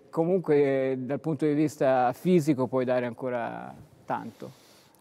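The man has a dark, mellow tone. He speaks at a fairly slow pace. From Tuscany, Pistoia; Tuscany. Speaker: sports TV host. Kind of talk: interview. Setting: sports hall. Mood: relaxed, conversational. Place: hall. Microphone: lapel.

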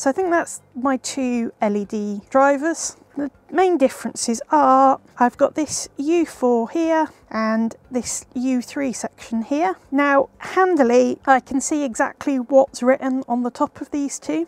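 At a very slow pace, a woman speaks in a high pitch with ordinary pitch variation, and the sound is dry with no echo. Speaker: presenter. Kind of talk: tutorial. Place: workshop.

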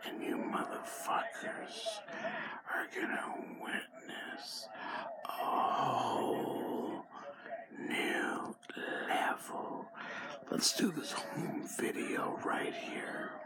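A man at a very slow pace, with long, frequent pauses and loud background noise. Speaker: vlogger. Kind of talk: casual vlog chat. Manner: slurred, drawn-out drunken speech. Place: home room. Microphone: phone near.

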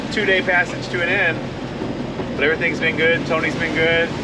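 Loud background noise runs under speech at a fairly quick pace. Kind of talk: casual vlog chat. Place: boat. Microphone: camera far.

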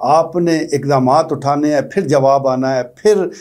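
Against a quiet background, a man with a fairly high voice talks fairly slowly, his pitch varying in an ordinary way. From Pakistan. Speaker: political commentator. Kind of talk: opinion commentary monologue. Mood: earnest, concerned. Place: studio.

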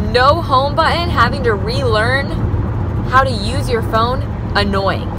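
A woman speaks at a fairly slow pace, the sound dry with no echo but with noticeable background noise. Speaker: vlogger. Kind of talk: casual vlog chat. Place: car.

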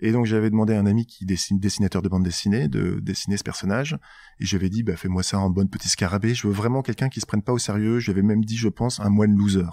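A man's dark, mellow voice at a very fast pace, with fairly even intonation, on a very clean recording with a silent background. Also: fairly low pitch for a man. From northern France, Nord (Tourcoing/Roubaix/Lille). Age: 40s. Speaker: startup co-founder. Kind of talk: interview conversation.

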